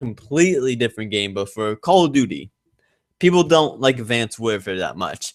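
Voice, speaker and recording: A man with a plain, everyday voice and medium pitch speaks at a moderate pace with lively intonation, the sound dry and close with no echo, on a very clean recording with a silent background. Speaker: gaming channel host. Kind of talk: solo podcast commentary. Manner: casual, excitable.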